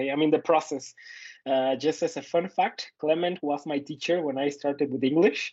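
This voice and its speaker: A man with a Mexican accent, fairly high-pitched, at a moderate pace. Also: fairly even intonation. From Mexico. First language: Spanish. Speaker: podcast co-host, student and teacher. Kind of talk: casual chat. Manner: halting, many fillers.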